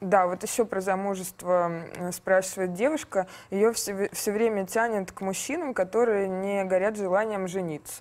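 On a very clean recording with a silent background, a woman with a plain, everyday voice speaks at a moderate pace, in a medium pitch, with fairly even intonation. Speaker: interviewer. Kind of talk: interview. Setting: studio.

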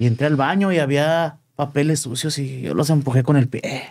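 The background is quiet. Intonation stays fairly even. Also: man. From Chihuahua, Mexico. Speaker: entertainment show host and marketer; interview guest. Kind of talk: interview. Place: studio. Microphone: studio mic.

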